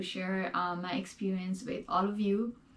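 Somewhat breathy with a dark, mellow tone, a woman speaks at a fairly slow pace. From Nepal. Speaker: student sharing test experience; test prep video host. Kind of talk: tutorial. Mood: calm, friendly. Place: home room.

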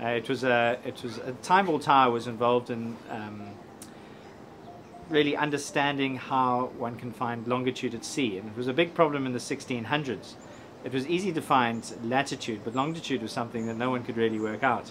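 Music plays in the background as the talking proceeds at a fairly quick pace. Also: man, ordinary pitch variation. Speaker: presenter. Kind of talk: piece to camera. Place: street.

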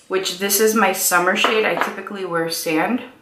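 The speech moves at a moderate pace, with noticeable background noise behind it. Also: woman. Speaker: beauty vlogger. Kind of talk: casual makeup tutorial chat. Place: home room.

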